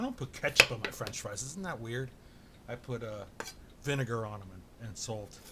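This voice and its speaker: Someone is shouting at a moderate pace, with big swings in loudness and ordinary pitch variation. Noticeable background noise sits behind the voice. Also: man, medium pitch for a man. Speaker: home cooking vlogger. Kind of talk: casual cooking tutorial. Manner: loud, shouting to be heard. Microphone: far from camera mic, has to shout.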